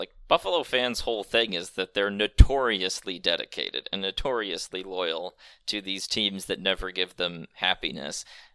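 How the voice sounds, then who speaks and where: With an American accent, a man speaks in a fairly low pitch, his tone bright and sharp and his intonation lively. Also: dry, close sound with no echo. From Michigan. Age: 20s. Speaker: sports writer. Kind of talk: casual chat.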